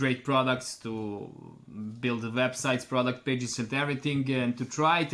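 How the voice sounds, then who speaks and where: A man with a Serbian accent, medium pitch and monotone, flat intonation. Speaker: online store owner. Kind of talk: customer testimonial. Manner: halting, many fillers.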